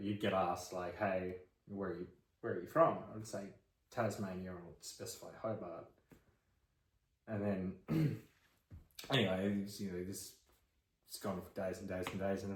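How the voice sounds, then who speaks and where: Somewhat breathy speech with fairly even intonation and long, frequent pauses. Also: man, fairly low pitch for a man, moderate pace. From Tasmania, Australia. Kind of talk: casual, conversational.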